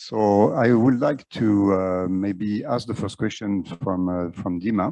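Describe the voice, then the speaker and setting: In a French accent, the speaker uses a dark, mellow tone and fairly even intonation at a fairly slow pace over a quiet background. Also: man. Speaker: panel moderator. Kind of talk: panel discussion. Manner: halting, many fillers.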